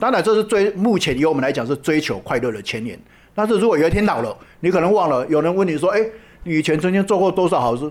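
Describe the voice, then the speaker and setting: A man with a Taiwanese accent talks at a very fast pace. His pitch is high and his intonation lively. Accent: Taiwanese Mandarin. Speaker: charity association founder and volunteer. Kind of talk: interview. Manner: frequent hesitation fillers.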